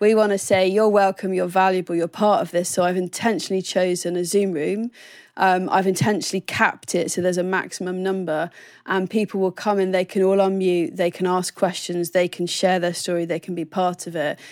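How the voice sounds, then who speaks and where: With a southern English accent, a woman of medium pitch speaks at a fairly quick pace in a monotone, flat delivery, on a very clean recording with a silent background. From southern England. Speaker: ministry training coordinator. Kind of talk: interview.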